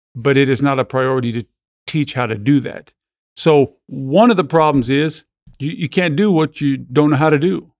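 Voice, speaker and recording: A plain, everyday voice from a man, fairly high in pitch with ordinary pitch variation, at a moderate pace, dry and close with no echo. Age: 50s. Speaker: ministry founder and evangelist. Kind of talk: casual interview.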